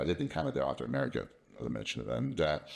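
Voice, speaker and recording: A man with an English accent talks at a very fast pace, with lively intonation and vocal fry. The recording is very clean, with a silent background. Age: 60s. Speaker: company founder. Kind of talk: casual interview. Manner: halting, repeats words.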